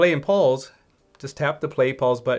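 With a slightly mellow tone, a man talks at a moderate pace and ordinary pitch variation.

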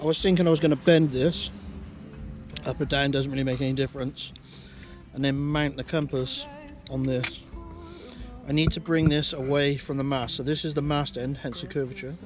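Over clear music in the background, a man speaks at a moderate pace in a monotone, flat intonation with long, frequent pauses and a dry sound with no echo. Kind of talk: explanatory DIY talk. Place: boat. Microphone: phone near.

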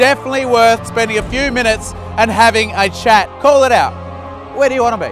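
Clear music plays behind a man's voice. The sound is dry, with no echo. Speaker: property auctioneer. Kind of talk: real estate auction promo read. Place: street.

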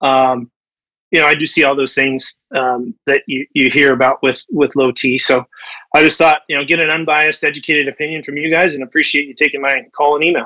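A man with an American accent, fairly quick in pace and fairly even in intonation, over a quiet background. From US West. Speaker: caller, restaurant owner. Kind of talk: casual chat. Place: home room. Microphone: video call.

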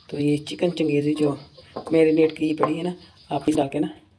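Over audible room echo, a woman speaks at a low pitch with little pitch movement. Her tone is dark and mellow. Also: moderate pace.

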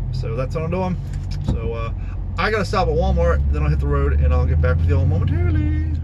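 The pace is very fast. Loud background noise runs underneath. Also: man. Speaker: reenactor vlogger. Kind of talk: casual vlog chat. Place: car.

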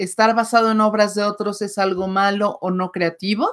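The speaker is a woman with a fairly high pitch. The background is quiet. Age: 40s. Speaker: writer and channel co-host; channel co-host. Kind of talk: casual livestream chat. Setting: live stream. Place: home room. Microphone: webcam.

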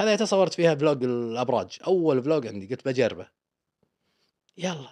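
A man with a Kuwaiti accent talks at a moderate pace. His pitch swings very widely over a quiet background. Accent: Kuwaiti Gulf Arabic. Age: 40s. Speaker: travel vlogger. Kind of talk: interview. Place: studio. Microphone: studio mic.

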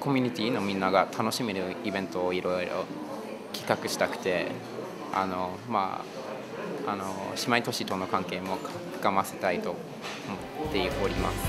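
Amid loud background noise, a man talks at a moderate pace with long, frequent pauses. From United States. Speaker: international relations coordinator. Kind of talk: interview answer. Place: office.

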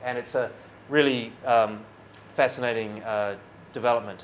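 A man with a New Zealand accent talks at a fairly quick pace over light background noise. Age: 30s. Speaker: foreign correspondent. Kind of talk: after-dinner talk. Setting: stage with audience. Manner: talkative. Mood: relaxed, smiling, animated. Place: hall.

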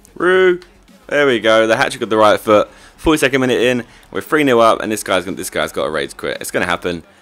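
Music plays in the background as a man talks very fast. His medium-pitched voice swings very widely. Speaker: gaming youtuber. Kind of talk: gameplay commentary. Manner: animated.

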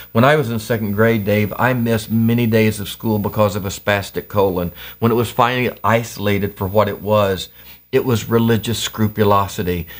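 Fairly even intonation against a quiet background. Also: man, fairly low pitch for a man, fairly quick pace. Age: 50s. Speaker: pastor and activist; pastor. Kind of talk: casual interview. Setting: home basement studio. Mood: reflective, earnest. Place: studio.

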